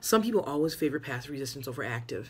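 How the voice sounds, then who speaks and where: A woman's very deep, low voice at a very fast pace, with an American accent. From Wisconsin, USA. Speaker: college history instructor. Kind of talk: online class check-in announcement. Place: office. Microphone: phone near.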